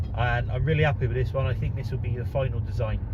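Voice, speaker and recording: A man talks with a Bristolian accent over noticeable background noise, with audible room echo. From England, Bristol area (South Gloucestershire). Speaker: DIY woodworking YouTuber. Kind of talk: casual vlog. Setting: in a car.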